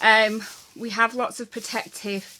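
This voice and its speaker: Fairly high in pitch, a woman speaks with a bright, sharp tone. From England. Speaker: YouTuber. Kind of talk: unboxing and taste test vlog. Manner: casual, chatty.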